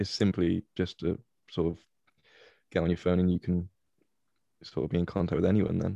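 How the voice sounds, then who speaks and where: In a dry, close recording with no echo and a quiet background, a man with a very deep, low pitch and a dark, mellow tone talks at a fairly quick pace in a monotone, flat intonation, with very even loudness and long, frequent pauses. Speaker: indie band member. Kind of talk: casual chat.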